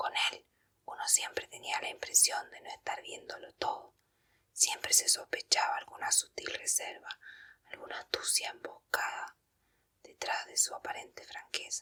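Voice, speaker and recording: Someone is whispering. The pace is fairly slow. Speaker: ASMR reader. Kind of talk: audiobook reading. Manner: whispered.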